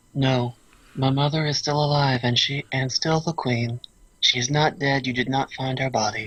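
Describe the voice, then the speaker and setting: A robotic, put-on character voice speaks at a moderate pace. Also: man, medium pitch for a man. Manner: robotic, stilted delivery.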